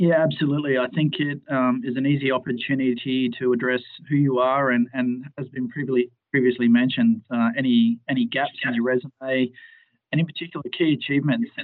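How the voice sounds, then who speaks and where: A normal speaking voice moves at a fairly quick pace with fairly even intonation. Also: man, medium pitch for a man. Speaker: HS team lead, line manager. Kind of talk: interview Q&A. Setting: phone or video call.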